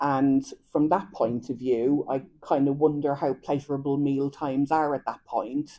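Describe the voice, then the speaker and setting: A woman with an Irish accent speaks in a very deep, low pitch. Her tone is dark and mellow, and her intonation fairly even. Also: moderate pace. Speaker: dietitian. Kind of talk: lecture.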